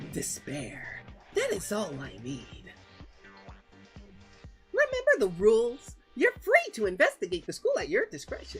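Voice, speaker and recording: Over clear background music, someone uses a strained, put-on character voice at a moderate pace. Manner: sinister, mocking.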